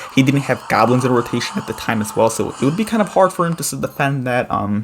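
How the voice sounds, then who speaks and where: A man's medium-pitched voice, very fast and lively in intonation, over noticeable background noise. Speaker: gaming YouTuber. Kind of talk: gameplay commentary tutorial. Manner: casual with fillers.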